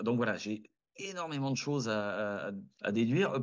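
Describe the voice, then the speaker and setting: A man speaks in a normal speaking voice at a medium pitch. His intonation is lively. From southern France (Valence). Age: 30s. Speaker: restaurant team leader and rideshare driver. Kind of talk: casual interview.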